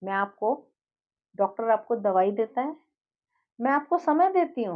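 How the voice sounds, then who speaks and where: With a calm tone, a woman speaks at fairly high pitch and makes very wide pitch swings. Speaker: life coach and healer. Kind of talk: monologue to viewers. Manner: calm, never raises voice.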